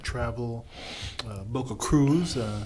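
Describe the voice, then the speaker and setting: A man talks at a medium pitch and a fairly slow pace. Noticeable background noise sits behind him. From Panama. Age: 60s. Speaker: mentor. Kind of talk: casual chat. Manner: halting, many uh fillers.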